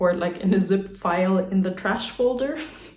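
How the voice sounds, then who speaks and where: Heard with audible room echo, a woman speaks at medium pitch in a German accent. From German-speaking country. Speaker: vlogger. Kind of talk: casual monologue. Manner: rambling casual with many fillers.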